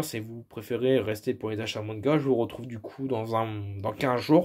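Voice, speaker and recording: A man's medium-pitched voice comes through over a quiet background. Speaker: YouTuber presenting his toy collection. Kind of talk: casual collection showcase monologue. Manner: hesitant, many fillers. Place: home room. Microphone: phone near.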